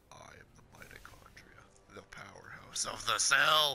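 A man speaks in a raspy, put-on character voice. He talks at a moderate pace. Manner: pompous, deadpan.

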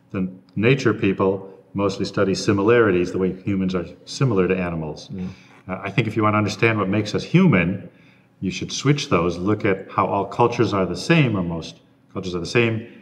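Very fast in pace, a man speaks with ordinary pitch variation. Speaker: interviewee. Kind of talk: interview answer. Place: hall. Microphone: lapel.

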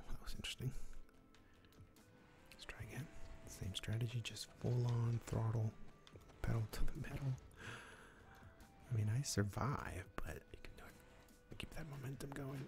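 A man whispers with big swings in loudness and long, frequent pauses while clear music plays in the background. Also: moderate pace. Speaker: gaming streamer. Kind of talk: casual gaming commentary.

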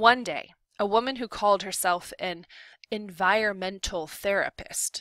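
Quiet background behind plain reading aloud

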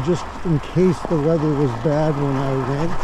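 Noticeable background noise in a dry, echo-free sound. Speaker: e-bike rider vlogger. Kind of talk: casual vlog chat. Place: street. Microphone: camera far.

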